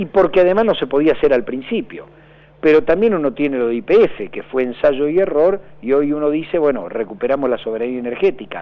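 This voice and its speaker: A man talks at a fairly quick pace with lively intonation and a fairly high pitch. His is an unremarkable speaking voice. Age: 50s. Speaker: political candidate. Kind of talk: radio interview.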